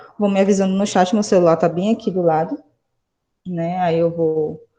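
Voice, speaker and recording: A woman speaks with a fairly low pitch and a dark, mellow tone. Her intonation is fairly even against a quiet background. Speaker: high school chemistry teacher. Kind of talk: online lecture.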